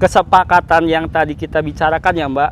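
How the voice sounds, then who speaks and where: Over noticeable background noise, a man talks at a fairly high pitch in a monotone, flat delivery. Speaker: car salesman. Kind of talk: pitchman promo, rapid-fire sales pitch. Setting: car showroom.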